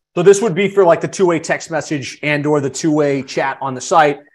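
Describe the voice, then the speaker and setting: Against a quiet background, a man with an ordinary speaking voice talks at a fairly quick pace, his pitch fairly high and his intonation fairly even. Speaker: podcast host. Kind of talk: casual webinar interview. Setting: live online session.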